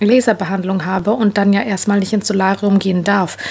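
The delivery moves at a fairly quick pace. It is an ordinary speaking voice. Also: woman. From Germany, Croatian parents. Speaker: vlogger and young mother; vlogger. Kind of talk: casual vlog. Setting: in a car. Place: home room. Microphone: phone near.

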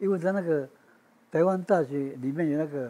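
Here is a man with a fairly high pitch. His pitch varies in an ordinary way. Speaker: oral history interviewee. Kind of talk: interview answer. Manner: hesitant, conversational. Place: home room. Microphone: lapel.

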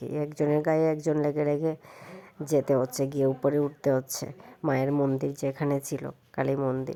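A dark, mellow tone colors a woman's very deep, low voice. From Tripura, Kumarghat. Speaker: vlogger. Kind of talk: travel vlog narration. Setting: outdoors at a crowded fair.

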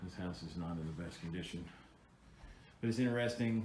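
Here a man speaks at a fairly quick pace in a very deep, low voice. Noticeable background noise comes through. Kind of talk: casual walkthrough commentary. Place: home room. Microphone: phone near.

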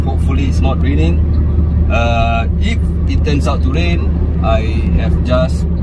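Loud background noise fills the recording as a man talks at a fairly slow pace. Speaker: food delivery vlogger. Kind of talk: casual vlog chat. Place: car.

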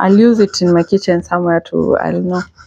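A woman's fairly even intonation amid noticeable background noise. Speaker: vlogger. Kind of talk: casual vlog chat. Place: home room. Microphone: lapel.

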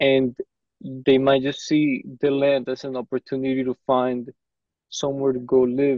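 The delivery is fairly slow and monotone with flat intonation, the sound dry with no echo and the background quiet. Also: man. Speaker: meeting participant; interviewer asking questions. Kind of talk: casual chat. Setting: video call. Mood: polite, thoughtful. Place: office. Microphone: earbuds.

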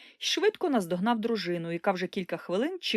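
The text is read aloud in a natural voice.

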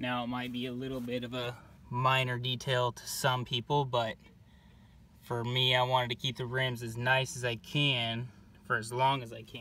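A man speaks in a bright, sharp tone with monotone, flat intonation. The sound is dry, with no echo. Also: moderate pace. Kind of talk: casual tutorial narration. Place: street. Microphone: phone near.

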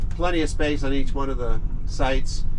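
A man talks at a moderate pace. Behind him, background noise is noticeable. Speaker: vlogger. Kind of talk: casual vlog chat. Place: car. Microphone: camera far.

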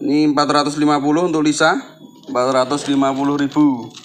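A man with a fairly high pitch speaks in a cheerful tone at a very slow pace. His intonation is fairly even, and faint music plays in the background. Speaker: plant seller. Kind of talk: street-market sales pitch listing plants and prices. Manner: repetitive, hawking each item twice with 'murah meriah' cheerful calls. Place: garden.

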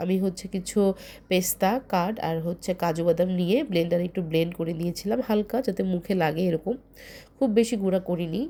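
A woman's dark, mellow voice at medium pitch with ordinary pitch variation, on a very clean recording with a silent background. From Bangladesh, Noakhali. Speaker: cooking video host. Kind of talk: cooking tutorial.

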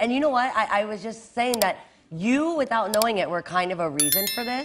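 A woman with an American accent speaks at a moderate pace, her fairly high pitch moving in very wide swings. Noticeable background noise runs underneath. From United States. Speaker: singer. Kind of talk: talk show interview answer.

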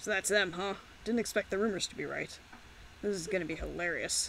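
In a put-on character voice, the speaker sounds raspy at a middle pitch and moves at a fairly quick pace against clear background noise. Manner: smug, scheming.

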